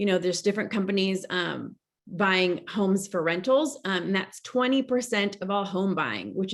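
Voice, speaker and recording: A woman speaks at a medium pitch with ordinary pitch variation. Hers is an unremarkable speaking voice. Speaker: real estate agent. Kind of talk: team meeting presentation.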